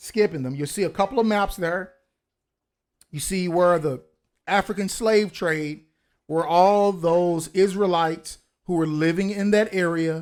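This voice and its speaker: Someone with a Kentucky accent talks at a fairly slow pace with long, frequent pauses on a very clean recording with a silent background. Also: man, high pitch for a man, ordinary pitch variation. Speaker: book reviewer, online show host. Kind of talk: book review, reading aloud with commentary. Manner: casual, conversational.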